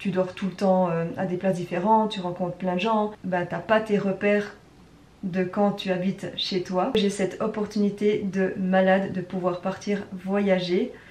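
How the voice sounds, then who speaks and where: At a fairly slow pace, a woman speaks with a medium pitch in a monotone, flat intonation. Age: 30s. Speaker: travel vlogger. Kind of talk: casual vlog talk to camera. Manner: casual, with frequent hesitations.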